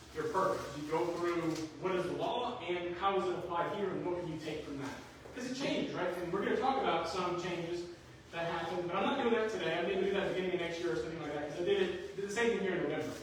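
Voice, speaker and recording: Talking at a very fast pace, a man uses a high pitch. Noticeable background noise and audible room echo fill the recording. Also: ordinary pitch variation. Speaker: employment lawyer. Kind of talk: seminar presentation. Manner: casual.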